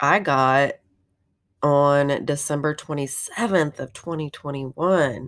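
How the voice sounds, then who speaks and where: This woman has a very deep, low pitch. Her tone is animated and upbeat. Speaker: podcaster. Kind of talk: devotional message. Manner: animated, upbeat.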